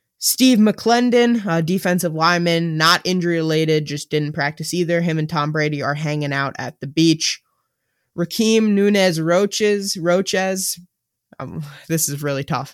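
This very clean recording has a silent background. A man with a high pitch speaks at a moderate pace with ordinary pitch variation. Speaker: sports podcast co-host. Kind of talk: casual chat.

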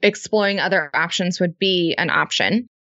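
Here a woman talks at a moderate pace with a medium pitch and fairly even intonation. She has an ordinary speaking voice. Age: 20s. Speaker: business co-founder and mom. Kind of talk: casual interview.

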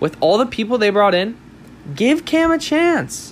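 This man talks at a moderate pace with an American accent. His pitch swings very widely. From Southern California. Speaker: sports podcast host. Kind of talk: solo sports commentary podcast.

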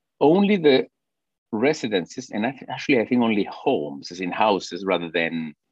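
A man in a Spanish accent talks at a moderate pace and a fairly low pitch with very wide pitch swings, in a dry, close sound with no echo. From Peru. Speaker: orchestra conductor and compost business founder. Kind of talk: casual interview. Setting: video call.

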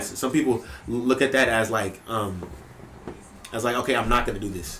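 Noticeable background noise and audible room echo surround a man who speaks at a moderate tempo. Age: 20s. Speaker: podcast host. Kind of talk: casual chat.

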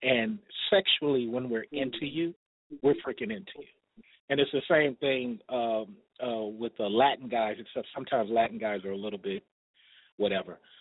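Using a normal speaking voice, the man talks at a medium pitch. His pitch variation is ordinary and his pace moderate. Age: 40s. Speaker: caller. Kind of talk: phone-in advice chat. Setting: phone call from his desk at work.

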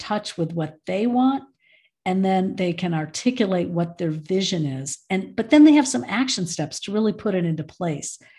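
A woman with an American accent speaks fairly slowly at medium pitch, her somewhat breathy, dark, mellow tone carrying lively intonation over a quiet background. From US Midwest, Michigan. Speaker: end of life educator. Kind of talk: casual interview.

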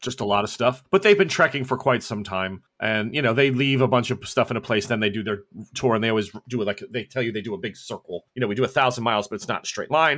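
A man's medium-pitched voice at a very fast pace, with hardly any pauses and ordinary pitch variation. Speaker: game master of a tabletop role-playing podcast. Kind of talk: actual-play tabletop role-playing session. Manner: laughs often.

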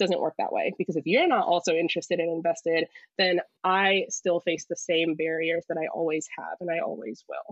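A woman speaks fairly quickly in a normal speaking voice with an American accent, her pitch fairly low and her intonation fairly even. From United States. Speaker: physical therapist and mental health advocate. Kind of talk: casual interview.

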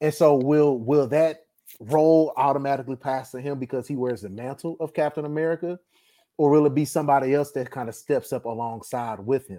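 On a very clean recording with a silent background, a man with a fairly high pitch and a dark, mellow tone speaks at a fairly quick pace with ordinary pitch variation. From Texas, Dallas. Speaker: movie podcast co-host. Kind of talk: casual chat.

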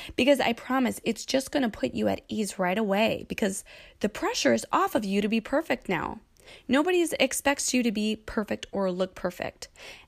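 A woman speaks at a moderate pace with vocal fry and lively intonation. The recording is very clean, with a silent background. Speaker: podcast host. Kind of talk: solo podcast monologue. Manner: casual.

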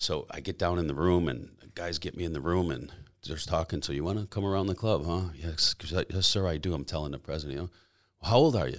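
Vocal fry runs through very fast speech with ordinary pitch variation on a very clean recording with a silent background. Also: man, very deep, low pitch for a man. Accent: American. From US Midwest, Chicago suburbs. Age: 50s. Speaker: former biker club president, bodybuilder. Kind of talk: casual interview. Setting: studio.

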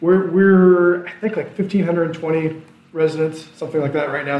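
A man with a Midwestern American accent and a fairly high pitch, with noticeable background noise and audible room echo. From Iowa. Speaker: small-town mayor. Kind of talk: interview.

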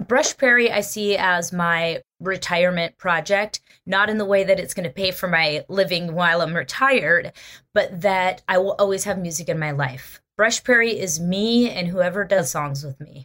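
Her bright, sharp tone sits at a medium pitch as the woman speaks at a moderate pace with ordinary pitch variation. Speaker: musician, bassist and keyboardist. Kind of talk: casual interview.

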